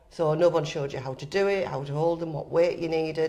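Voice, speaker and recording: In a Teesside accent, a woman talks at a very fast pace with a very deep, low pitch, a dark, mellow tone and fairly even intonation. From northern England, Teesside (Stockton). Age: 60s. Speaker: retired gym member. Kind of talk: podcast interview.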